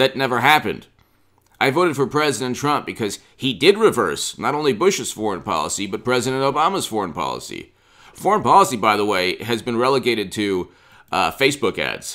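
A bright, sharp tone with vocal fry and very wide pitch swings at a fairly quick pace over a quiet background. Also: man. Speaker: political commentator. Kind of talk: commentary. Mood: opinionated, critical. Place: home room.

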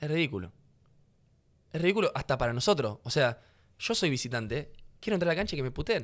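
Against a quiet background, a man talks at a very fast pace with long, frequent pauses, his fairly high voice making very wide pitch swings. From Rosario, Argentina; Argentina. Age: 20s. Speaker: professional footballer; podcast guest. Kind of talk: casual interview conversation. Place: studio. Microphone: studio mic.

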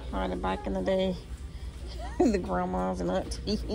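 Over noticeable background noise, a woman speaks with a very deep, low pitch and lively intonation. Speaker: shopping vlogger. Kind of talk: casual vlog chat. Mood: playful, laughing. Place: shop. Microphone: phone near.

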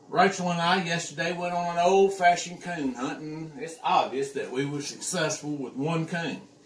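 A man speaks at a moderate pace. There is light background noise and audible echo from the room. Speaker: home cook vlogger. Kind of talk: casual cooking tutorial. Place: kitchen.

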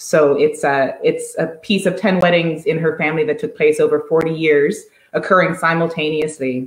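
At a moderate pace, a woman with a fairly low pitch talks over audible room echo. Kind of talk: interview answer. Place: home room. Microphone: video call.

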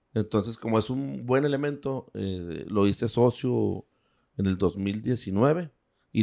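A dark, mellow tone against a quiet background. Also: man. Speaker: businessman. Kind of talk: casual chat. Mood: relaxed, conversational. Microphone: handheld.

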